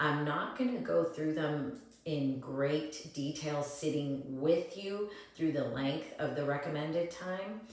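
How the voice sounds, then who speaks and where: A woman's very deep, low voice at a very slow pace, with ordinary pitch variation, audible room echo and noticeable background noise. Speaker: yoga and breathwork teacher. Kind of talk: tutorial. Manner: halting.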